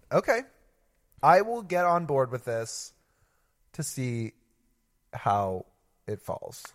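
A man with a fairly high pitch speaks at a very slow pace, leaving long, frequent pauses while his pitch swings very widely. The sound is dry and close with no echo, in a very clean recording over a silent background. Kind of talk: casual chat. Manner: talks a lot.

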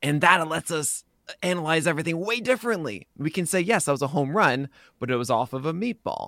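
At a fairly quick pace, the voice sounds bright and sharp with lively intonation, captured dry and close with no echo on a very clean recording with a silent background. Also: man, fairly high pitch for a man. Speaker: fantasy baseball analyst and site founder. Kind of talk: casual podcast interview.

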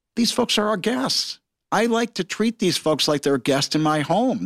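A man with a Midwestern American accent speaks at a fairly quick pace with lively intonation. The sound is dry and close with no echo, in a very clean recording with a silent background. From Michigan, Detroit area. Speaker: entrepreneur, cinema chain founder. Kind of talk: interview.

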